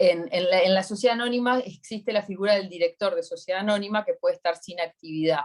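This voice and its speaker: A woman speaks with a Uruguayan accent. Her voice sits at medium pitch with ordinary variation. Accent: Uruguayan Spanish (rioplatense). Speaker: accountant giving a workshop. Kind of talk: online workshop Q&A.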